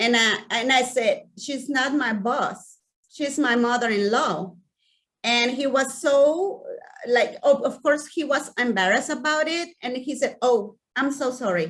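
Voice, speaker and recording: A woman with a Mexican accent speaks at a high pitch and a fairly slow pace, her intonation lively. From Mexico. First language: Spanish. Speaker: community outreach director. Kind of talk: personal talk to an audience. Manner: halting, with frequent repetitions.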